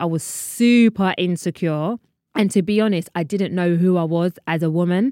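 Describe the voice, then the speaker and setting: A woman speaks at a medium pitch and moderate pace with a London accent. The recording is very clean, with a silent background and a dry, close sound with no echo. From London, England. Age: 30s. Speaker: podcast host. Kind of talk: casual chat.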